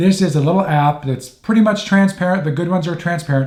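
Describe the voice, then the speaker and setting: Someone talks at a fairly quick pace with ordinary pitch variation. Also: man. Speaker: tech tips youtuber. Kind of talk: tutorial. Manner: fast; casual, with fillers.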